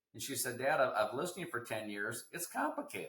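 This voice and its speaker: This man speaks at a medium pitch. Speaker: healthcare cost expert. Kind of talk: interview. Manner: fast; animated.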